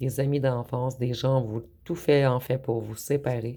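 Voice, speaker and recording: The speech comes at a fairly slow pace in a very clean recording with a silent background. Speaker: tarot card reader. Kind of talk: tarot reading. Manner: hesitant, many fillers.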